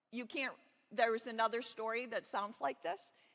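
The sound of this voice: Intonation here is fairly even. The delivery is an unforced reading voice.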